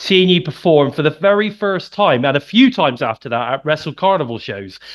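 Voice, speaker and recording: Talking at a fairly quick pace, a man with a slight Birmingham accent uses lively intonation. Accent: slight Midlands (Birmingham). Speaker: podcast host. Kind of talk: interview podcast.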